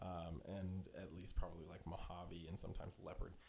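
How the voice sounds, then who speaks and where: A soft-spoken man with a very deep, low pitch speaks in a monotone, flat intonation, with audible room echo and noticeable background noise. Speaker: reptile breeder. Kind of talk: live stream chat. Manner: laid-back.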